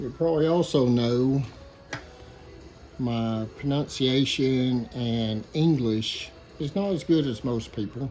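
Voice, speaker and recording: Over noticeable background noise, a man with a strong Southern US accent and a medium pitch speaks at a very slow pace with ordinary pitch variation and long, frequent pauses. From Arkansas, US South. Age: 50s. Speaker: woodworker. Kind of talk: workshop tutorial talk. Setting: workshop.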